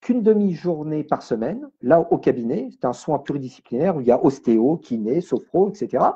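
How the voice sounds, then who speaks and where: At a moderate pace with hardly any pauses, a somewhat breathy man with a fairly high pitch speaks with very wide pitch swings. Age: 60s. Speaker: medium and energy healer. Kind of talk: radio interview. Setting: radio studio.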